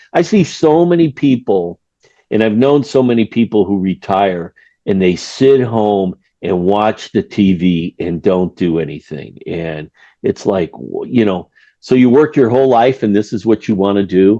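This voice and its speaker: A man's dark, mellow voice with an American accent and lively intonation, in a dry, close sound with no echo. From US Midwest, Chicago. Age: 60s. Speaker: retired financial controller and author. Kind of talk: podcast interview. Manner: casual, halting with repetitions.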